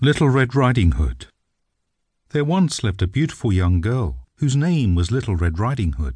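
A man talks at a moderate pace and medium pitch, with very wide pitch swings. His voice is somewhat breathy, with a dark, mellow tone and a gentle, warm tone. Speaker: audiobook narrator. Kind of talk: bedtime story narration, scripted reading aloud of a fairy tale. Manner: gentle, warm, storyteller pacing with a lightly animated tone for the child's lines; clear and measured, suited to young children.

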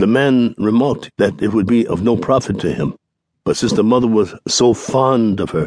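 Against a quiet background, the clip offers plain reading aloud with fairly even intonation.

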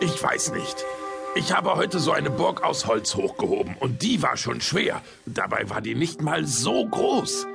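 A man uses a put-on character voice at a fairly high pitch, with big pitch swings and vocal fry. He goes at a fairly slow pace with long, frequent pauses as clear music plays in the background.

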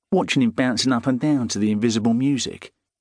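A man's weary tone at a fairly quick pace, dry and close with no echo. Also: quiet background. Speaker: audiobook narrator. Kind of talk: dramatic first-person audiobook narration of a gritty crime novel, with dialogue. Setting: studio.

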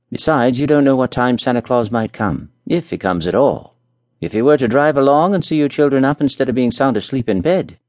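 A natural reading voice over a quiet background.

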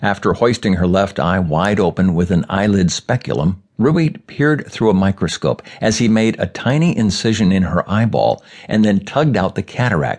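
With a plain, everyday voice, a man speaks at a moderate pace and a fairly low pitch, using lively intonation and very even loudness. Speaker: audiobook narrator. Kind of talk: audiobook narration of a newspaper column. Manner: formal, measured, even-paced news-reading delivery.

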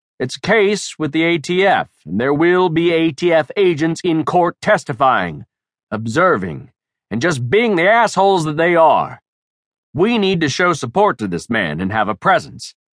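A man's unremarkable speaking voice, fairly high in pitch with lively intonation, at a moderate pace, dry and close with no echo over a quiet background. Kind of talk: audiobook narration, reading a novel aloud. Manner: steady narrative pace, shifting into gruff tough-guy dialogue for biker characters.

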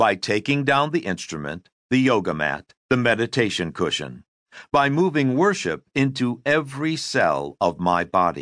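Medium-pitched male voice with a warm tone, very wide pitch swings, very even loudness and a moderate pace against a quiet background. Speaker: audiobook narrator. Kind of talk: audiobook reading, first-person memoir narration. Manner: measured, reflective; warm, earnest storytelling.

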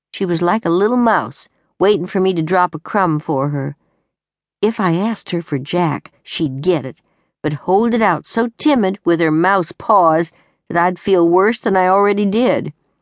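A woman with an ordinary speaking voice talks at a medium pitch with lively intonation. The sound is dry and close with no echo, over a quiet background. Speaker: audiobook narrator. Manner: gruff, weary and rueful, with a slow, dry, homespun drawl.

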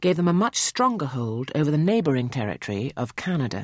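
Someone talks with a British accent over a quiet background. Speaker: narrator. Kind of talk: scripted narration.

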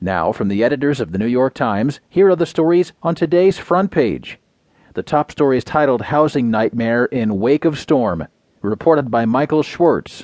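A man with a plain, everyday voice, medium pitch, lively intonation and a moderate pace, against a quiet background. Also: dry, close sound with no echo. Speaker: news reader. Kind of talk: scripted newspaper digest read aloud, headline rundown then full article. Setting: studio. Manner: measured, even broadcast delivery; crisp headline-style phrasing in the rundown.

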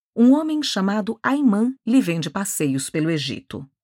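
A woman with a Brazilian accent, dramatic in tone, at a moderate pace with very wide pitch swings, in a very clean recording with a silent background and a dry, close sound with no echo. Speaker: audiobook narrator. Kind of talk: audiobook narration of a novel, dramatic. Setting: studio. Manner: dramatic, measured, literary storytelling.

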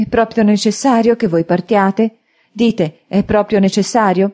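A female-sounding voice, put on as a character, speaks shakily at a moderate pace and a medium pitch. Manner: trembling, emotional.

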